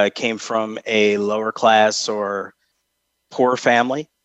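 A man speaks in a flat monotone at medium pitch, with an American accent. The sound is dry and close, with no echo. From upstate New York, Albany. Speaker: retired army officer. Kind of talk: interview. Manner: hesitant with frequent fillers.

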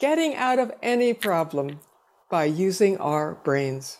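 The speech comes at a very slow pace with very wide pitch swings. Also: woman. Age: old. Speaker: author. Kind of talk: casual interview. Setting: video call.

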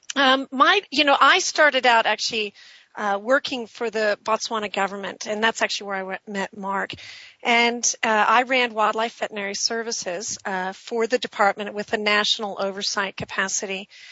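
A woman with a plain, everyday voice, fairly high pitch, ordinary pitch variation and a moderate pace. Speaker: conservation researcher and professor. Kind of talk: radio interview.

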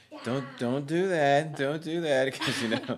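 A man speaks with an American accent at a medium pitch. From Pennsylvania. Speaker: police officer and model. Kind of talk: interview.

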